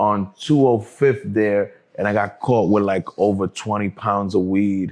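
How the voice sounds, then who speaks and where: Against a quiet background, a man with a New York accent speaks fairly slowly in a fairly low pitch with fairly even intonation. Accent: New York City. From New York City, Harlem. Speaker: cannabis entrepreneur, formerly incarcerated. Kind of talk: interview conversation.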